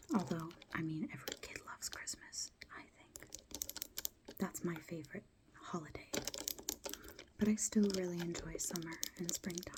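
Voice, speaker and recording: Whispering at a moderate pace in a gentle tone, with long, frequent pauses, big swings in loudness, and noticeable background noise. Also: woman. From United Kingdom. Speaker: ASMR creator. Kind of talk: ASMR soft-spoken talk to camera. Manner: soft-spoken, gentle.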